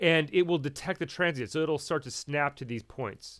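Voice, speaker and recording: A man's voice over a quiet background. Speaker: audio editing instructor. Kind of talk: tutorial. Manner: fast; casual, halting with fillers. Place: home room.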